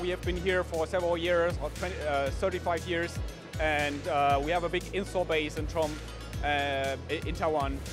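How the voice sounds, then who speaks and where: Moderate-paced speech with a dry sound, no echo, and clear music in the background. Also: man. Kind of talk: interview answer. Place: hall. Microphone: handheld.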